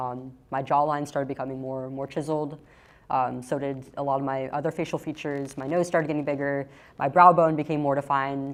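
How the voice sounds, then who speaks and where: A woman speaks at a fairly quick pace with a very deep, low pitch and a monotone, flat delivery. The background is quiet. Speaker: activist. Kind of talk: testimony.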